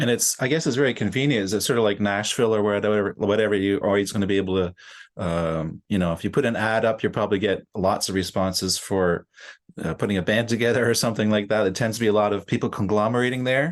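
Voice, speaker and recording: Against a quiet background, a man with a Canadian accent speaks at a very fast pace in a fairly low pitch, with ordinary pitch variation. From Canada, Ontario. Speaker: podcast host and musician. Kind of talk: interview.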